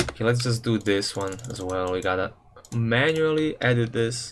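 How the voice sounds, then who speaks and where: A man with a non-native accent speaks at a medium pitch with lively intonation. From Serbia. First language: Serbian. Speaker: gaming livestreamer. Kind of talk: casual livestream chat. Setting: live stream. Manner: casual, slangy.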